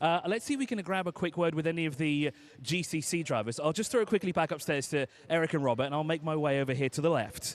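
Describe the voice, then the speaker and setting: The speech races along at a very fast pace with ordinary pitch variation. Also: man. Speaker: pit lane reporter. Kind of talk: live interview. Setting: pit lane, live broadcast.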